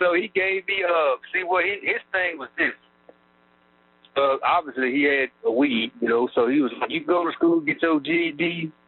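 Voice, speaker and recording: Speaking at a moderate pace in an Arkansas accent, a man uses a high pitch and lively intonation. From Arkansas, Texarkana area. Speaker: prison inmate. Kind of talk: interview. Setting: prison phone call. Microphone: prison phone line.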